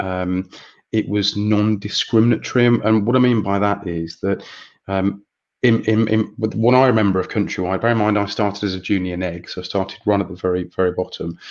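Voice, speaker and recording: Fairly even intonation at a fairly quick pace, in an English Midlands accent. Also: man, fairly low pitch for a man. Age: 40s. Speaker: estate agency chief executive. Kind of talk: interview.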